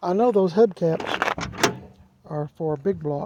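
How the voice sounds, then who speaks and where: A man talks at a high pitch while noticeable background noise goes on. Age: 60s. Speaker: car enthusiast video host. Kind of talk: casual walkaround vlog. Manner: halting, with many fillers.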